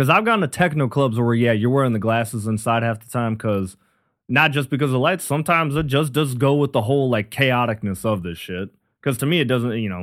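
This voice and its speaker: A medium-pitched man at a fairly quick pace, with ordinary pitch variation and big swings in loudness, on a very clean recording with a silent background. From Minnesota, US Upper Midwest. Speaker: comedian. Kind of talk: casual chat.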